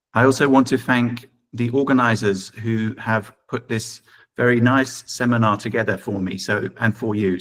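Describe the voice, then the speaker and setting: Here a man talks in an English accent. His medium-pitched voice holds a fairly even intonation. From England. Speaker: professor. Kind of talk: lecture.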